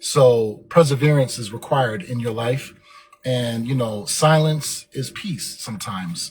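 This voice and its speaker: A man speaking at a fairly slow pace, his loudness swinging widely, over noticeable background noise. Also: medium pitch for a man, ordinary pitch variation. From Germany. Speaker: motivational podcast host. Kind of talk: motivational monologue. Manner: filler-heavy, occasionally tongue-tied.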